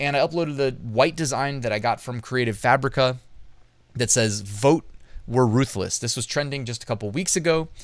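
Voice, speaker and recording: A man talks at a moderate pace. The sound is dry with no echo, over a quiet background. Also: ordinary pitch variation. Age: 30s. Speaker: YouTube educator on print on demand; online business educator. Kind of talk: tutorial and product review. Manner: casual, conversational.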